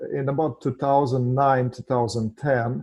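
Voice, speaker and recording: In a Russian accent, a man speaks at a fairly slow pace and medium pitch, somewhat breathy with a dark, mellow tone and fairly even intonation, in a dry, close recording with no echo. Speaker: financial services founder and real estate investor. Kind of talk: podcast interview. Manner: hesitant, many filler sounds.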